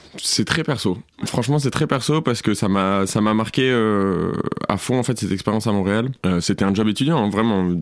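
The speaker holds a moderate pace and very even loudness, with ordinary pitch variation. Noticeable background noise is present. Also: man, fairly low pitch for a man. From southern France. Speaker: coffee shop manager. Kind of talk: casual interview. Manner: casual with many fillers.

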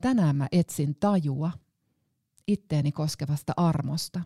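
A woman's very deep, low voice, somewhat breathy, with a dark, mellow tone, ordinary pitch variation, a very slow pace and a dry, close sound with no echo. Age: 40s. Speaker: pastor. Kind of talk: scripted narration. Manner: reflective.

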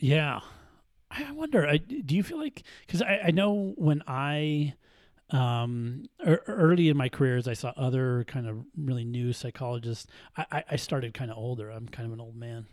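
A man's medium-pitched voice at a moderate pace, with big swings in loudness, in a very clean recording with a silent background. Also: ordinary pitch variation. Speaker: trauma therapist. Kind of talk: casual chat. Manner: halting, hesitant.

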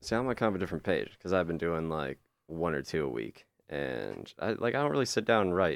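Very fast and very deep, a man's voice with vocal fry swings very widely in pitch. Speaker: student stand-up comedian. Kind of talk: casual chat. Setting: radio studio.

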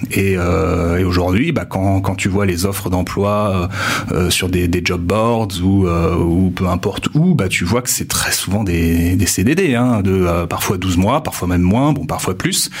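A very deep, low male voice at a very slow pace, with very even loudness, ordinary pitch variation, noticeable background noise and audible room echo. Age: 20s. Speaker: university staff member. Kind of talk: interview.

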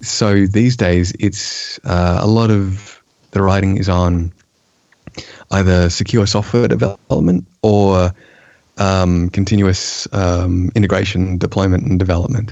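With an Australian accent, a man talks at a fairly slow pace in a very deep, low pitch, with fairly even intonation and very even loudness. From eastern Australia. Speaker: software developer and technical writer. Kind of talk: casual chat.

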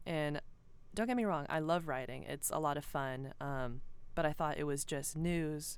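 A woman with a very deep, low voice speaks at a moderate pace. Her intonation stays fairly even, and the room echo is audible. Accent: American. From Georgia, US South. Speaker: student newspaper editor-in-chief. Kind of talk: casual interview. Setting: podcast studio.

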